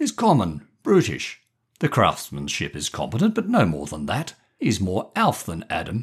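A man puts on a croaky character voice at medium pitch, pompous and enthusiastic. He keeps a moderate pace. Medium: read story. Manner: genial, pompous, enthusiastic.

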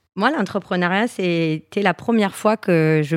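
In a dry, close sound with no echo, a woman speaks at a very slow pace, her fairly low pitch showing ordinary variation. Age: 30s. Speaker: entrepreneur, founder of a knitwear brand. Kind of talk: interview.

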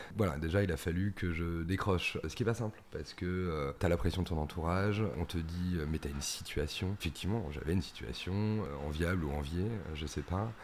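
Talking at a fairly quick pace with hardly any pauses, a man uses a very deep, low pitch with ordinary variation. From Paris region, France. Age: 30s. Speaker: cheesemonger. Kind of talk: casual interview.

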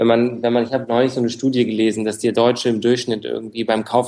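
Flat, monotone speech from a man at a medium pitch. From Frankfurt, Germany. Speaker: startup founder in real estate. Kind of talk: interview. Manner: hesitant, many fillers.

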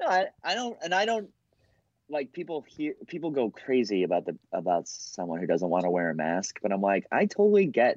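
This man speaks with an American accent at a fairly quick pace. His medium pitch swings very widely. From Boston. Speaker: comedian. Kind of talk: casual chat. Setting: video call.

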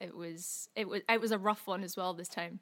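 A woman with a Scottish accent speaks at a moderate pace and medium pitch, in a monotone, flat way. The recording is very clean, with a silent background. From Scotland. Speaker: singer-songwriter. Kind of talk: casual interview chat.

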